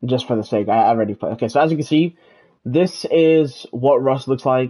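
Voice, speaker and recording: The voice has a dark, mellow tone with ordinary pitch variation. It moves at a moderate pace. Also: man. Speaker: gaming streamer. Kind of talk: live gameplay stream tutorial. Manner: halting, many fillers.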